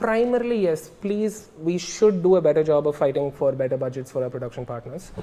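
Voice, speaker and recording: A man's fairly high voice at a moderate pace. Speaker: advertising creative director. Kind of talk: interview. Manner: halting; casual.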